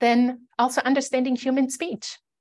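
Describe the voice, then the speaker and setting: The setting around the voice is quiet. A woman talks fairly slowly. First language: German. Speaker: conference presenter. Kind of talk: conference presentation. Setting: video call. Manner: frequent fillers, um and uh.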